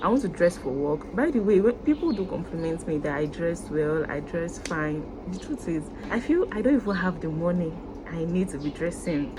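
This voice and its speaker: In a Nigerian accent, a woman with a fairly low pitch and ordinary pitch variation speaks over noticeable background noise. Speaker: YouTuber. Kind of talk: vlog to camera. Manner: fast.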